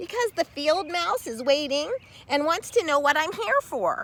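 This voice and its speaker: Her pitch is extremely high in a put-on character voice. The woman talks at a moderate speed. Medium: read story.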